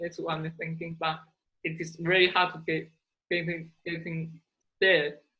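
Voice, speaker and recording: This woman has a Chinese accent. Her pitch is fairly low. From China.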